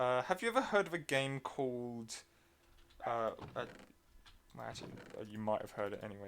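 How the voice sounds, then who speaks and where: Medium-pitched male speech with an English accent. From England. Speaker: gaming streamer. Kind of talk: casual chat. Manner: halting, many fillers.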